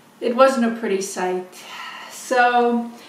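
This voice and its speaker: A woman with a fairly high pitch speaks with ordinary pitch variation. Audible room echo and noticeable background noise surround her voice. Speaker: beading designer and inventor. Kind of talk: product demonstration. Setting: home video filmed by husband. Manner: halting, many fillers.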